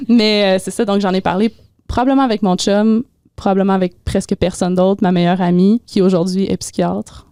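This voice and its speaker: A woman with a Quebec accent speaks at a medium pitch and fairly quick pace, her tone dark and mellow, her intonation fairly even, in a dry, close sound with no echo. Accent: Québécois French. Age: 20s. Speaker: mental health advocate. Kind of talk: interview.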